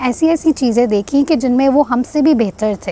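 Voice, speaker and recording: Over noticeable background noise, the speaker talks at a fairly slow pace with ordinary pitch variation. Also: woman. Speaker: social entrepreneur. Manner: halting.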